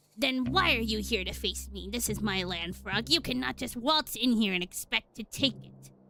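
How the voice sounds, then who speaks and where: A put-on character voice speaks at a moderate pace. Hardly any pauses break it up. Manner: mock-menacing, imperious.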